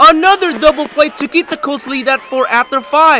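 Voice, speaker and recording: Against noticeable background noise, a man speaks in a raised, projected voice with an energetic tone. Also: dry, close sound with no echo. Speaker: sports highlights narrator. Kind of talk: scripted play-by-play highlight narration for high school baseball. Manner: energetic, punchy sports-announcer delivery; brisk, rapid-fire recap pacing.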